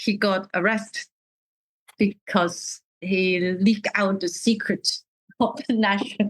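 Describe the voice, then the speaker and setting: A woman with a medium pitch speaks very slowly in a somewhat breathy voice, with long, frequent pauses and a dry, close sound with no echo. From Hong Kong. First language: Cantonese. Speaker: artist and dissident in exile. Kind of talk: interview. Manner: halting.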